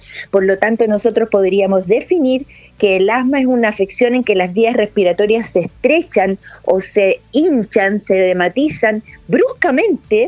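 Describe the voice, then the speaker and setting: With music in the background, the speech has lively intonation, very even loudness and a fairly slow pace in a dry, close sound with no echo. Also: woman, fairly high pitch for a woman. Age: 60s. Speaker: lung specialist doctor. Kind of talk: interview.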